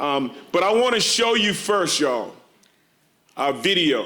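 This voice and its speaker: A man's animated tone and lively intonation, with audible room echo. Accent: American. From USA. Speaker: social work professor. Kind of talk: conference talk. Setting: stage with audience. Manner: loud.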